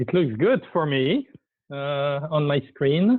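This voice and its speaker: A man's intonation stays fairly even as he talks at a very slow pace. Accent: French. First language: French. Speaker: initiative coordinator. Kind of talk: presentation. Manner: halting.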